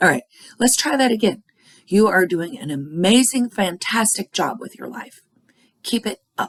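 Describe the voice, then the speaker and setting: A woman speaks with lively intonation and vocal fry. The sound is dry and close, with no echo. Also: moderate pace. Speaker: oracle card reader. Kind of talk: casual spiritual card reading talk. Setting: at home. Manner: restrained volume, not loud.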